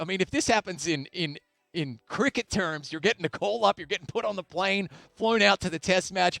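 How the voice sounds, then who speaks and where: Music plays behind a man with an Australian accent whose high pitch, lively intonation and animated tone come through at a moderate pace in a dry, close sound with no echo. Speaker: esports tournament host. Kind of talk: live esports broadcast interview. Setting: studio.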